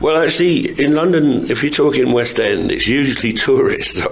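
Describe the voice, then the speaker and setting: There is noticeable background noise. A man talks over it at a moderate pace. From England. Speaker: actor. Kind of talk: interview answer.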